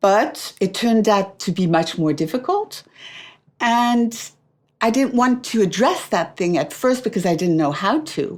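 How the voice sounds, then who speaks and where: A woman with a French accent at a fairly high pitch, fairly slow, with very wide pitch swings and very even loudness, on a very clean recording with a silent background. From France. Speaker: author. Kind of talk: interview answer.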